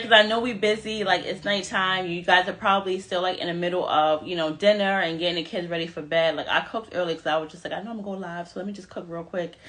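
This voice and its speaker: Against noticeable background noise, a woman with a medium-pitched voice talks very fast in an animated tone with ordinary pitch variation. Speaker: makeup artist and mom influencer. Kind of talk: live stream tutorial.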